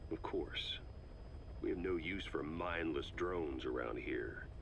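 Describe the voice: A man speaks slowly in a put-on character voice with ordinary pitch variation. His pitch is extremely low, with vocal fry.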